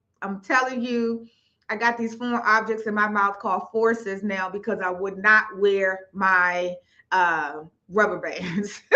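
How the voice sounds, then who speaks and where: This woman's tone is animated, bright and sharp. She speaks at a fairly slow pace with ordinary pitch variation. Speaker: financial coach hosting live stream. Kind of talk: live stream talk to audience. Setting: online live stream. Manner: animated, repetitive.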